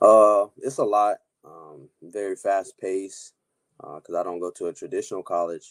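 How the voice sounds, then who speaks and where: A man talks at a moderate speed, the sound dry and close with no echo. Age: young. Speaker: young entrepreneur. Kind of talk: interview. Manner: hesitant, many fillers.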